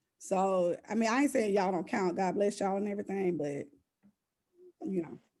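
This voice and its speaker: The speaker has a dark, mellow tone and a Southern US accent. Pitch varies in an ordinary way. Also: woman. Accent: Southern US, country. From US South. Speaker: podcast host. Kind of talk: casual interview chat.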